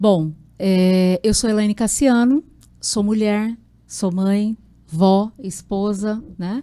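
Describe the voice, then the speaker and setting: The voice has a dark, mellow tone and ordinary pitch variation, captured in a very clean recording with a silent background. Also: woman. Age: 40s. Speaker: university rector candidate. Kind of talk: interview. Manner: halting, many fillers.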